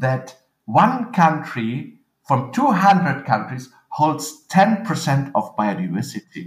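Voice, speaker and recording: A man speaks at a very slow pace with a fairly high pitch. His pitch swings very widely, with vocal fry. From western Germany (Eifel). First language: German. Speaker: agricultural researcher. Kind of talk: interview. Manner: halting.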